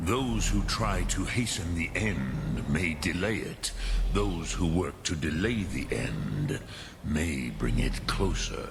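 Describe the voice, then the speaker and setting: A man's put-on character voice, very deep and low in pitch, at a fairly slow pace amid loud background noise. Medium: video game. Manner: slow, ponderous, peppered with dragon-tongue words.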